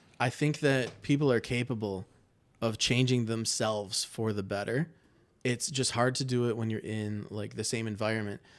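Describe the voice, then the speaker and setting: This man has a normal speaking voice at medium pitch, with an American accent, fairly even intonation and a moderate pace, in a very clean recording with a silent background. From Michigan, Livonia. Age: 30s. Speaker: marketer at a software company. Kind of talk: casual chat.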